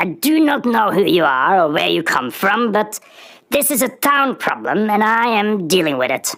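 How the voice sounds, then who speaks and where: A put-on character voice sits at fairly high pitch with very wide pitch swings. The pace is moderate. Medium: read story. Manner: pompous.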